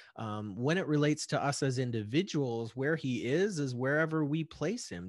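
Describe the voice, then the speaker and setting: Here is a man with a plain, everyday voice, fairly high in pitch. He talks at a moderate pace with lively intonation. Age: 40s. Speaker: podcast host. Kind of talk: casual chat. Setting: remote call.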